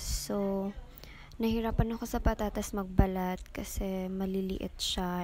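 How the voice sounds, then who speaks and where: Soft-spoken and monotone, a woman speaks at medium pitch with a dark, mellow tone and flat intonation. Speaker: vlogger. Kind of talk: voice-over narration. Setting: indoors at home.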